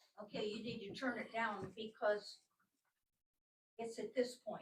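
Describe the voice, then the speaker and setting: At a moderate pace, a woman speaks in a fairly high, somewhat breathy voice with fairly even intonation. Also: long, frequent pauses, big swings in loudness. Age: 80s+. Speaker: resident speaking at public comment. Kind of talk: public meeting debate. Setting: village council meeting.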